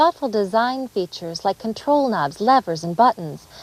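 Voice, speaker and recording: A woman with an American accent talks at a moderate pace in a medium pitch, her voice swinging very widely in pitch. The sound is dry and close, with no echo. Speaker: presenter. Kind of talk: corporate training narration.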